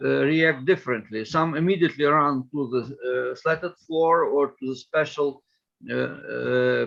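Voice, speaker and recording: A man with a Ukrainian accent speaks at a moderate pace. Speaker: politician. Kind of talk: interview. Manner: halting.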